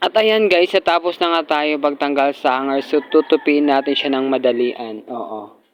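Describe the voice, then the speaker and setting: A man with an ordinary speaking voice and fairly high pitch talks at a moderate pace with lively intonation and hardly any pauses, over a quiet background. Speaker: vlogger. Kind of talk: casual vlog narration. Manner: chatty, upbeat.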